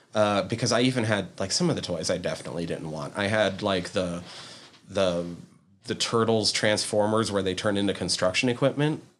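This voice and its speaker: A man's fairly low voice at a fairly quick pace, with ordinary pitch variation and an unremarkable speaking voice. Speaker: podcast host. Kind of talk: casual chat.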